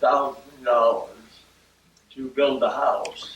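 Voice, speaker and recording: A man with a Midwestern US accent speaks at a very slow pace. Noticeable background noise and audible room echo fill the recording. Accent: US Midwest. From US Midwest, Akron, Ohio. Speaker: oral history interviewee. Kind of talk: oral history interview. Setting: at home. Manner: halting, many fillers.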